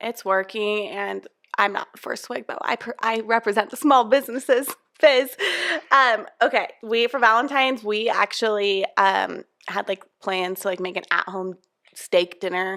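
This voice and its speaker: With a Utah accent, a woman speaks at a fairly slow pace in a fairly high pitch with a bright, sharp tone and ordinary pitch variation, the sound dry and close with no echo. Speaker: podcast co-host, mom. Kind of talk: casual chat.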